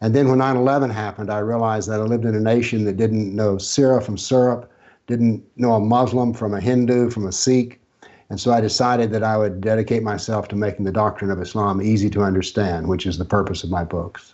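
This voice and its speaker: At a very fast pace, a man talks with fairly low pitch. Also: fairly even intonation. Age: 70s. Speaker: author and former professor on political Islam. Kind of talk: interview.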